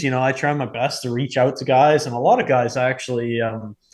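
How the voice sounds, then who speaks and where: With an ordinary speaking voice at a medium pitch, a man keeps a moderate pace and fairly even intonation against a quiet background. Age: 20s. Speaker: pro hockey player. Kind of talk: casual chat.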